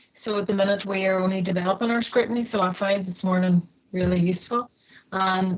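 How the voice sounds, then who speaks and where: In a Northern Irish accent, a woman talks at a fairly quick pace with a fairly high pitch. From Northern Ireland. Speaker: housing association staff member. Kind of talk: comment at an online meeting.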